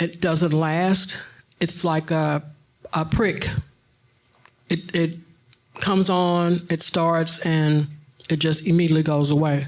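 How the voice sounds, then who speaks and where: Very slowly and with long, frequent pauses, a woman with a fairly low voice speaks in a flat monotone at very even loudness. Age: 60s. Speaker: patient asking question from audience. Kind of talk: audience question.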